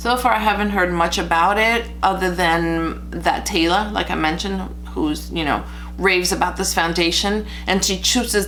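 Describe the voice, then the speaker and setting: Over background music and with audible room echo, a woman speaks at a moderate pace with a Spanish accent. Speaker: beauty vlogger. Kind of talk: makeup tutorial review. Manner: casual, chatty with fillers.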